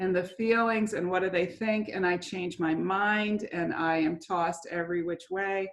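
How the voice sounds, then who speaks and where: A woman's unremarkable speaking voice at a moderate pace, with ordinary pitch variation. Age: 60s. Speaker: church member, mother. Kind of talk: interview.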